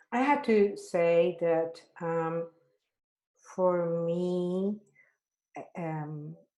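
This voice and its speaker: Speaking very slowly with a non-native accent, this voice has a dark, mellow tone, ordinary pitch variation, and long, frequent pauses. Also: woman, fairly low pitch for a woman. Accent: foreign accent, noticeable. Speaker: activist. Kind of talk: panel discussion. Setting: webinar video call.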